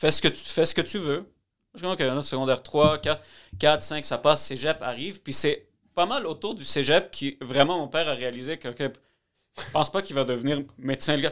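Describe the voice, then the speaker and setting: A man speaks at a fairly quick pace in a fairly high pitch, with an ordinary speaking voice. The recording is very clean, with a silent background. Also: ordinary pitch variation. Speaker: mortgage broker. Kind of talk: casual chat.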